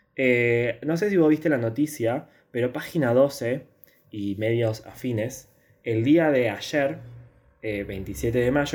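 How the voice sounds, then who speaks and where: A man's medium-pitched, ordinary speaking voice with ordinary pitch variation. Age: 20s. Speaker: podcast host, university student. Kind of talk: casual chat.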